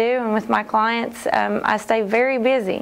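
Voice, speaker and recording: The speaker goes at a very slow pace. The intonation stays fairly even. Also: woman. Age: 30s. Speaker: personal trainer and brand ambassador. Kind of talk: testimonial. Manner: halting, many fillers. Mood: warm, upbeat.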